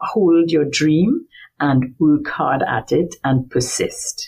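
A woman's somewhat breathy voice, very deep and low in pitch, at a very slow pace. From Trinidad and Tobago. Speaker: marine biology professor. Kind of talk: interview.

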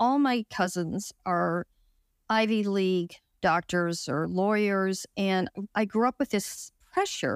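Here is a woman with an ordinary speaking voice at medium pitch. The recording is very clean, the background silent. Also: dry, close sound with no echo. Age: 60s. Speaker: retreat participant sharing recovery from depression. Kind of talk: interview testimony.

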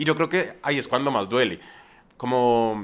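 A man has an ordinary speaking voice at medium pitch and a moderate pace. The recording is very clean with a silent background. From Colombia, Bogotá. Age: young. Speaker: YouTuber, music reviewer. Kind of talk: casual interview.

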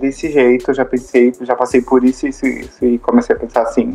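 Music runs behind a man who talks at a fairly quick pace. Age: 20s. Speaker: podcast co-host, artist. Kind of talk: casual chat. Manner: animated.

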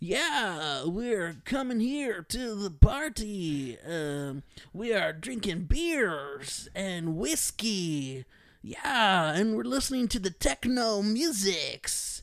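This put-on character voice uses an American accent and a middle pitch. It moves at a very slow pace with very wide pitch swings. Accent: fake American. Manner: exaggerated, partying.

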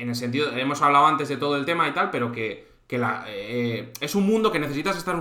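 There is noticeable background noise and audible room echo as a man speaks at a fairly quick pace with lively intonation. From Spain, Santander (Cantabria). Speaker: live stream host. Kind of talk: casual chat. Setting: live stream.

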